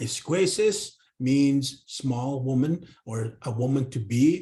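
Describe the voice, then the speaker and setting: A man speaks at a medium pitch with a dark, mellow tone. His intonation is lively and his voice somewhat breathy. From northern Canada, Cree community. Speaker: Cree language educator. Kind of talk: professional development presentation. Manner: hesitant with fillers and repetitions.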